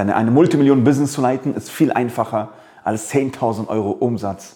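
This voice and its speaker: A man's medium-pitched voice, dark and mellow in tone, with ordinary pitch variation at a fairly quick pace. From Afghanistan. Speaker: business coach. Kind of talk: motivational monologue. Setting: office.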